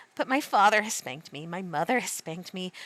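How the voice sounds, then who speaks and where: A woman puts on a character voice at a medium pitch. She talks at a very fast pace. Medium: read story. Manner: polite.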